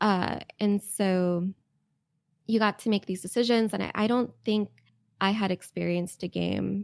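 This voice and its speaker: An unremarkable speaking voice moves at a fairly slow pace, with a dry, close sound and no echo. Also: woman. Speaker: game writer. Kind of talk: casual interview chat.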